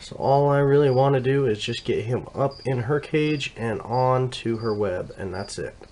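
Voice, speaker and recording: The speaker talks at a moderate pace. Noticeable background noise runs through the clip. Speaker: tarantula breeder. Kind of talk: tutorial. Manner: halting.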